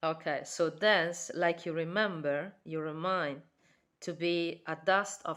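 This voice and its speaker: With an Italian accent, a woman talks at a very slow pace in a monotone, flat intonation. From Italy. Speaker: tarot reader. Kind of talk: tarot reading. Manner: halting.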